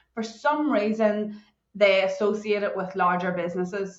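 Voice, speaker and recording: A medium-pitched woman with a Northern Irish accent, with audible room echo. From Northern Ireland. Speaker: cybersecurity consultant. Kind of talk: podcast interview. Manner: animated.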